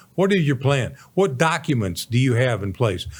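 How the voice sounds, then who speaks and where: A man speaks at a moderate pace with a somewhat breathy voice and very wide pitch swings. The recording is very clean, with a silent background. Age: 70s. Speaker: radio show host, Navy veteran and senior adviser. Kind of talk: casual financial advice talk. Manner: animated.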